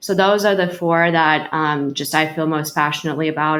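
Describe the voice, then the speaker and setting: The pace sits in the middle range. A Russian accent comes through in the speech. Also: woman. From Ukraine, Kharkiv; moved to New York at 10. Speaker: healthcare executive. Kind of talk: interview. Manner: hesitant, many fillers.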